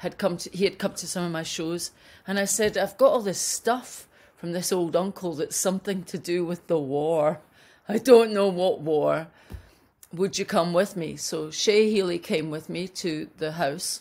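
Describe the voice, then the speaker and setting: Keeping a moderate pace and ordinary pitch variation, a woman talks in an ordinary speaking voice. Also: fairly low pitch for a woman. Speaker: remote interview guest. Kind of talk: interview answer. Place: home room.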